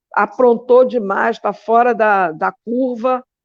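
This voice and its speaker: A woman sounds animated with ordinary pitch variation, recorded dry and close with no echo against a quiet background. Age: 60s. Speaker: philosophy teacher and activist. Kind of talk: interview. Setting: live online show.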